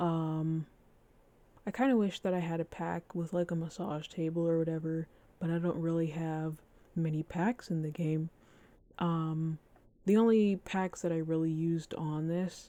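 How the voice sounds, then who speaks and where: Soft-spoken and fairly low-pitched, a woman talks at a moderate pace in a dark, mellow tone with fairly even intonation and long, frequent pauses. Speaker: Sims 4 builder. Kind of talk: casual gameplay commentary.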